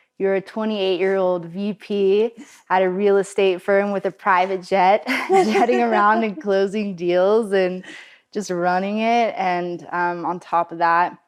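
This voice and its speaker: A woman with a plain, everyday voice speaks at a medium pitch and a fairly slow pace, her intonation fairly even against a quiet background. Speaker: podcast host. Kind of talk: podcast interview.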